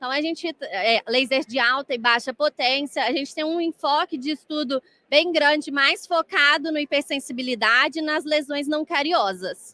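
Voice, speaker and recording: In a Minas Gerais accent, a woman projects her high, bright, sharp voice at a moderate pace with ordinary pitch variation and hardly any pauses, the sound dry and close with no echo. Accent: mineiro Brazilian Portuguese. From Brazil, Minas Gerais (Varginha). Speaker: dentistry lecturer and researcher. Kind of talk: lecture. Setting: congress stage with audience.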